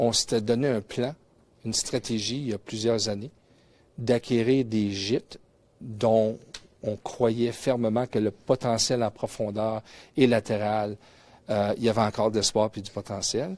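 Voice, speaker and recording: Speaking fairly slowly with a Quebec accent, a man keeps his intonation fairly even and leaves long, frequent pauses. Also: very clean recording, silent background. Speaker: mining company executive and geologist. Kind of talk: conference presentation. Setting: conference room with audience, webcast. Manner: hesitant, many fillers and repetitions.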